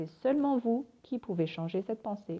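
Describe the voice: A woman's lively intonation carries speech at a moderate speed.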